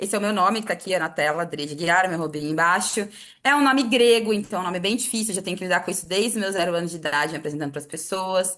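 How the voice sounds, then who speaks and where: Very fast, lively speech against a quiet background. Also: woman. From Cuiabá, Mato Grosso, Brazil. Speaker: communicator, media network co-founder. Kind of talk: workshop talk.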